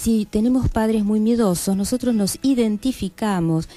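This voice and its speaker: In an ordinary speaking voice, a woman talks at a moderate pace. Her pitch is fairly high. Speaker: clinical psychologist, guest on a radio health program. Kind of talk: radio interview answer explaining psychology to listeners.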